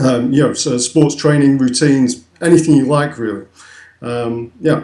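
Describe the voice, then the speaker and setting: With a northern English accent, a man speaks at a moderate pace in a dark, mellow tone, his fairly high pitch carrying fairly even intonation. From northern England. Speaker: website founder. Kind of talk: interview. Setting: call from England. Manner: hesitant, many fillers.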